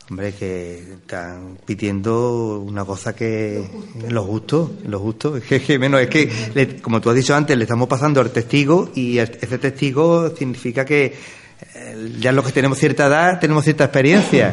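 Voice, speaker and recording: Noticeable background noise sits behind a man of medium pitch who speaks at a moderate pace with lively intonation. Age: 60s. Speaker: seniors' centre director. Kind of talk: radio interview.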